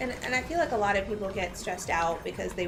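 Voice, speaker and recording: A woman talking very fast, with noticeable background noise and audible room echo. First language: Farsi. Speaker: lawyer. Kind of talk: casual chat. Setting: live game stream.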